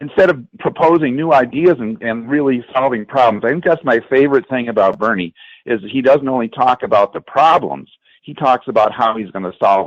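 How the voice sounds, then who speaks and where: A man with a plain, everyday voice talks fairly quickly at a medium pitch with lively intonation, in a dry, close sound with no echo and a quiet background. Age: 60s. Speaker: political activist, rally attendee. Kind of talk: political discussion.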